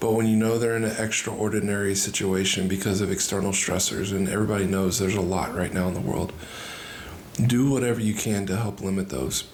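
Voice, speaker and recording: Soft-spoken and very fast, a man talks at a fairly low pitch with fairly even intonation and very even loudness, amid audible room echo and noticeable background noise. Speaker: marriage podcast co-host. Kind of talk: casual chat.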